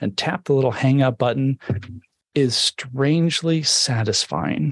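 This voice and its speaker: A man with an ordinary speaking voice talks at a fairly slow pace, his medium pitch showing ordinary pitch variation. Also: dry, close sound with no echo. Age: 50s. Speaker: tech book author. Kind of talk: interview with live audience Q&A. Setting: live video stream.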